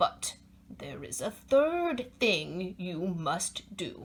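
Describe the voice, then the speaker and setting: This female-sounding voice is a put-on character voice at a middle pitch. It moves at a very slow pace. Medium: read story. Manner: warm, gently instructive.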